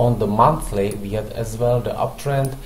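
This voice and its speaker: In a very slow delivery, a man with a non-native accent speaks amid noticeable background noise and audible room echo. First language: not English. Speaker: forex trading analyst. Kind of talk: market analysis tutorial. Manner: halting, many fillers.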